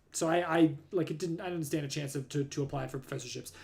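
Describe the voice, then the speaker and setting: A man with a fairly high pitch speaks at a very fast pace. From Southern California. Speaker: astronomer. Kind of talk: live stream talk. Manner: loud.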